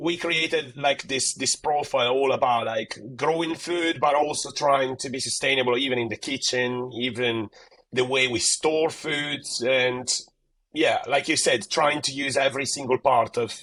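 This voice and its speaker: A man's fairly high, bright and sharp voice with an Italian accent, moderate pace and fairly even intonation. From Italy. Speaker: gardening content creator. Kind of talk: podcast interview. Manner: casual, many fillers and repetitions.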